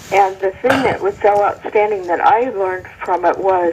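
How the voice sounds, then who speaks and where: At a fairly slow pace, a woman talks in an ordinary speaking voice of medium pitch. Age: 60s. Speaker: caller. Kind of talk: call-in comment.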